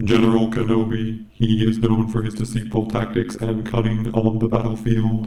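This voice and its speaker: In a robotic, put-on character voice, a man talks at a moderate pace and medium pitch, with monotone, flat intonation and hardly any pauses. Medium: tutorial demo.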